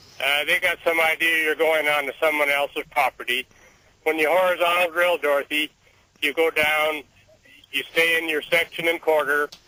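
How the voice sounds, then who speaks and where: A man with a fairly high voice talks at a moderate pace in a flat monotone, his loudness very even, the sound dry and close with no echo but with noticeable background noise. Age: 60s. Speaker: caller, oil field worker. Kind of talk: radio call-in. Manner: casual.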